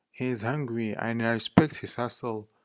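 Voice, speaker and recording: A man speaks with a non-native accent at a fairly slow pace. The recording is very clean, with a silent background. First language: not English. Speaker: vlogger. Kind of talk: casual monologue. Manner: hesitant, with fillers.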